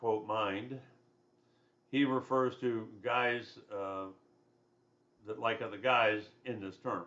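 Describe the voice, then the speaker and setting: Very slow delivery with long, frequent pauses and fairly even intonation. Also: man, medium pitch for a man. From US South. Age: 60s. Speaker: college instructor. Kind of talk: lecture. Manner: conversational.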